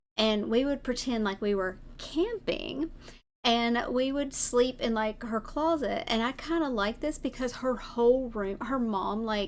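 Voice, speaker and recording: At a fairly slow pace, a woman speaks at a high pitch with ordinary pitch variation, on a very clean recording with a silent background. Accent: Southern US. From US South. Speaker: vtuber streamer. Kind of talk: casual chat. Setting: live stream.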